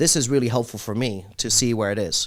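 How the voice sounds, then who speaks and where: In a very clean recording with a silent background, a man speaks in an energetic tone at medium pitch and a moderate pace. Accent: American. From international, diplomat family (Indian). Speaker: motivational speaker and startup coach. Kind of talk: podcast interview.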